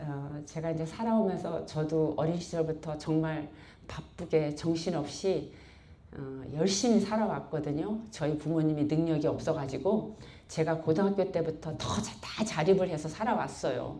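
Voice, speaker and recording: A woman with a very deep, low pitch and a dark, mellow tone talks at a moderate pace with ordinary pitch variation, and room echo is audible. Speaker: church member giving testimony. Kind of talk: testimony. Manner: blunt, rough-toned.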